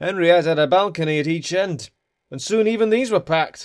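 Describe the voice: The voice reads aloud plainly, with ordinary pitch variation. The background is quiet.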